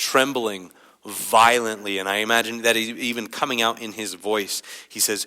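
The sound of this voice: An unforced reading voice is heard here.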